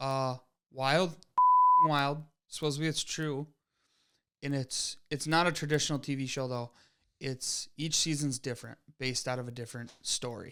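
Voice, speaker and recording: In a Wisconsin accent, a man with a bright, sharp tone and fairly high pitch speaks at a moderate pace with fairly even intonation and long, frequent pauses, in a very clean recording with a silent background. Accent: Wisconsin Midwest. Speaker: podcast co-host. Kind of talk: casual chat.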